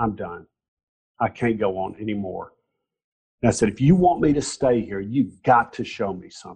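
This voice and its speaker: A man with a Southern US accent talks at a moderate pace and medium pitch, somewhat breathy, with long, frequent pauses. His intonation is lively and his loudness swings widely. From US South, Alabama (Mountain Brook). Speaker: nonprofit founder. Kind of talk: interview. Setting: video call.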